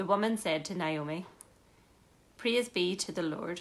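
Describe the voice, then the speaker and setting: In an unremarkable speaking voice, a woman talks at a moderate pace with a fairly low pitch. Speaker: scripture reader. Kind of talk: reading aloud. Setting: church.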